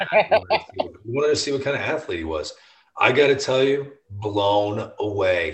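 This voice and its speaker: A man with an American accent speaks at a moderate pace in a medium pitch, his voice somewhat breathy. His tone is animated, with very wide pitch swings. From US Midwest (St. Louis). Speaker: baseball TV host. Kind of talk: casual chat. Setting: home basement.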